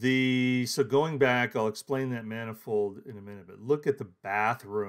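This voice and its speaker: A man is speaking. The background is quiet. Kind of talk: casual vlog walkthrough. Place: home room. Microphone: phone near.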